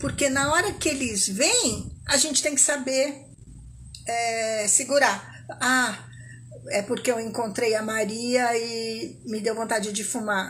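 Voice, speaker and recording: Audible room echo surrounds a woman who speaks at a very slow pace with ordinary pitch variation. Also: fairly high pitch for a woman. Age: 60s. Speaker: smoking cessation coach. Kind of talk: live talk to online audience. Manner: conversational, informal.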